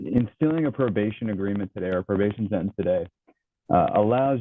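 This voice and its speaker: A man with a plain, everyday voice speaks at a fairly low pitch. His pace is moderate. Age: 30s. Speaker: criminal defense lawyer. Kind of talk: courtroom argument. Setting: court hearing on Zoom.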